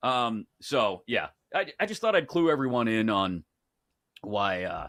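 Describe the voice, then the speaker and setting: Speaking with an American accent at a medium pitch, a man talks fairly slowly with very wide pitch swings on a very clean recording with a silent background. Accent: Pittsburgh (Yinzer), comes out when stressed. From Pittsburgh, US. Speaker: sports betting show host. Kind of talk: casual chat.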